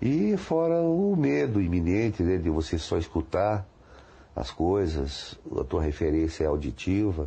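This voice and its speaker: Against a quiet background, a man with a very deep, low pitch and a dark, mellow, somewhat breathy tone speaks at a fairly slow pace, with ordinary pitch variation and very even loudness. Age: 50s. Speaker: blind interviewee. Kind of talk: testimony. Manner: halting.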